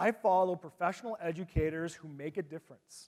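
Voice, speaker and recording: Ordinary pitch variation marks a man talking at a moderate pace. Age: 40s. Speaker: teacher and conference presenter. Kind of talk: conference presentation. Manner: animated.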